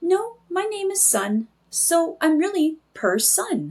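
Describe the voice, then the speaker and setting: In a put-on character voice, a woman squeaks at an extremely high pitch with very wide pitch swings. Her pace is fairly slow. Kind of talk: bedtime story. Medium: read story. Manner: gentle, reassuring.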